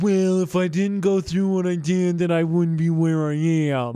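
A man puts on a nasal character voice with a high pitch. He keeps a moderate pace.

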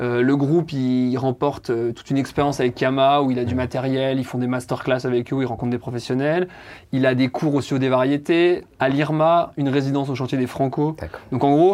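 This man's intonation stays fairly even, and the background is quiet. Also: medium pitch for a man, fairly quick pace. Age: 20s. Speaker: music event project manager. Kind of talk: interview. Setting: company office. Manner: hesitant, many fillers.

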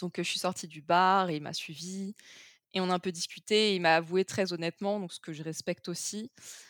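On a very clean recording with a silent background and a dry, close sound with no echo, a woman talks at a fairly quick pace in an ordinary speaking voice at medium pitch. Her intonation stays fairly even while her loudness swings widely. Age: 20s. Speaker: project manager sharing a breakup story. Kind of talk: testimony.

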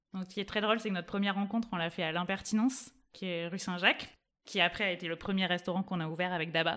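On a very clean recording with a silent background, a woman speaks at a very fast pace in a bright, sharp tone. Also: medium pitch for a woman. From southwestern France, Toulouse area. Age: 30s. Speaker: startup co-founder. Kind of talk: interview. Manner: energetic.

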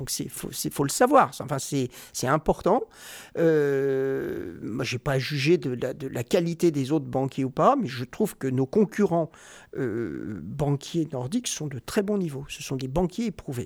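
Against a silent background on a very clean recording, a man with a fairly high pitch and lively intonation speaks very slowly, the sound dry and close with no echo. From Normandy, France. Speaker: investment banker. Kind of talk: interview.

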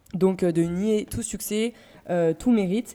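This woman's voice has a dark, mellow tone at a medium pitch. Her pitch moves in an ordinary way. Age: 20s. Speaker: music label manager. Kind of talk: casual chat.

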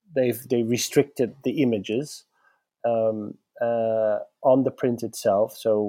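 At a fairly slow pace, a man with a Dutch accent speaks in a medium pitch with a dark, mellow tone and monotone, flat intonation. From Netherlands. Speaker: gallerist. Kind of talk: interview. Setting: video call.

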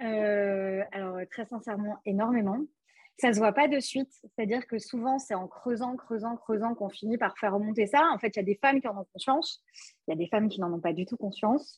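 A woman with a fairly high, somewhat breathy voice speaks with ordinary pitch variation. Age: 20s. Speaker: couples therapist. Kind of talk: casual interview.

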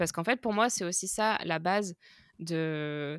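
A woman's unremarkable speaking voice at a medium pitch with ordinary pitch variation, dry and close with no echo, on a very clean recording with a silent background. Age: 30s. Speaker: tour and merch manager. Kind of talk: casual chat.

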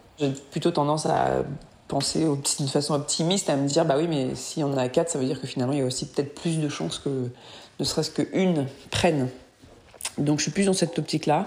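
A woman with a very deep, low pitch, fairly even intonation, a fairly quick pace and long, frequent pauses. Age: 30s. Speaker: woman pursuing solo fertility treatment. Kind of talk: audio diary. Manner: halting.

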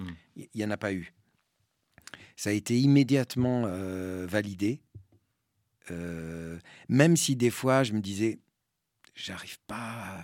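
Speaking in a Spanish accent, a man with a fairly low pitch moves at a very slow pace with long, frequent pauses, ordinary pitch variation and big swings in loudness. The recording is very clean, with a silent background. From French Basque Country and Spain. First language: Spanish (speaking French). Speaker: actor and stage director. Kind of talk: public talk interview. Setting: cinema with live audience. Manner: hesitant, repeats words.

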